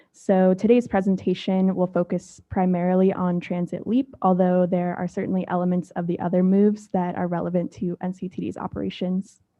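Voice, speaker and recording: Soft-spoken and at a medium pitch, a woman talks at a fairly quick pace. Her delivery is flat and monotone, with hardly any pauses. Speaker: transit agency staff planner. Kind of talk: staff presentation at board meeting. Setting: public board meeting.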